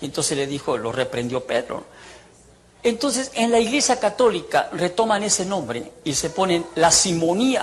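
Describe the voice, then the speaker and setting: Noticeable background noise fills the recording. Through it, a man talks fairly slowly with lively intonation. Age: 60s. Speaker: ex-priest preacher. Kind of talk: testimony. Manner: animated.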